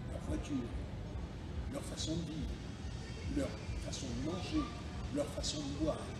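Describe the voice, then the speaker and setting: Against loud background noise and audible room echo, a man speaks at a fairly slow pace with long, frequent pauses. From Caribbean. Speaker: actor and voice-over artist. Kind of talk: interview answer. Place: street. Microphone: camera far.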